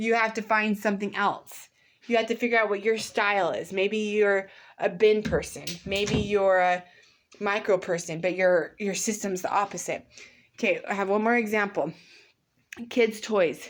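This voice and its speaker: A woman speaks at a moderate pace with a medium pitch and fairly even intonation. It's an ordinary speaking voice, in a very clean recording with a silent background. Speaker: mother. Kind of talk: casual talk to camera. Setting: home, background noise.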